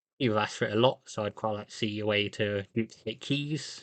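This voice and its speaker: Words come at a fairly quick pace. The accent is British. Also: man. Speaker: podcast host. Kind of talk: solo podcast monologue.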